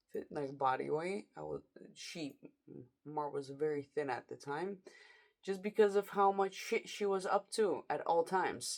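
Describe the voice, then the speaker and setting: A woman speaks fairly slowly in a fairly low pitch, her intonation lively. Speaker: vlogger. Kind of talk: late-night personal vlog monologue. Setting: at home at night. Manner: casual, rambling with hesitations.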